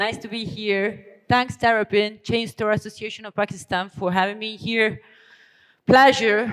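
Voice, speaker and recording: The speaker has an Italian accent. The pace is moderate. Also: woman. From Italy. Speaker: business strategy consultant, keynote speaker. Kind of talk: keynote speech. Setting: conference stage with audience. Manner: hesitant fillers, some false starts.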